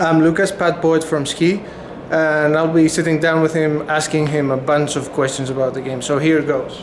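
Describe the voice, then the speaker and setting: Through noticeable background noise and audible room echo, a man speaks at a moderate pace, fairly high-pitched, with monotone, flat intonation. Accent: Greek. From Greece, Athens. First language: Greek. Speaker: gaming journalist. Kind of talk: interview. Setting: trade fair.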